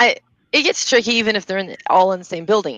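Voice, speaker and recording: A woman speaks with a slight Southern US accent. Her pitch is medium, with ordinary variation. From borderline US South, not Kentucky. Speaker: business webinar host. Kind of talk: casual chat.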